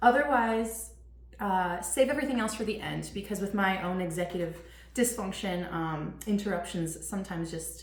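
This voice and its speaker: Amid noticeable background noise and audible room echo, a woman speaks at medium pitch and a moderate pace. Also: ordinary pitch variation. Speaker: teacher running a parenting webinar. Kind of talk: webinar presentation. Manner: many fillers (um, uh).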